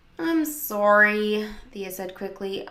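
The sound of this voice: Reading in an unforced voice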